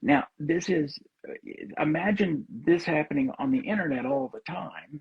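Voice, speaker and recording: A man talks with a Southern US accent. His voice is somewhat breathy, with lively intonation. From US South. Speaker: psychologist. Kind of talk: casual chat. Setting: livestream video call.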